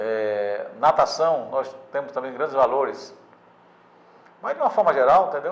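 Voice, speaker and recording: A man speaks at a fairly slow pace and a fairly high pitch. He takes long, frequent pauses, with ordinary pitch variation. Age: 60s. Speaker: sports newspaper editor. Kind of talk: interview. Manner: halting, many repetitions and fillers.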